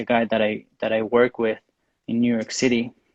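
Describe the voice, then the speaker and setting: With a Spanish accent, a man speaks at a medium pitch. His pace is moderate. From Mexico. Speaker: graphic designer. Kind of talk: interview. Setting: livestream video call. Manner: halting.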